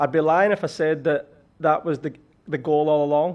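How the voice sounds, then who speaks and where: Talking at a fairly quick pace, a man with a slight Scottish accent speaks in a monotone, flat intonation. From Scotland. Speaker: college soccer head coach. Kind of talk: podcast interview. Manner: hesitant, many fillers and repetitions.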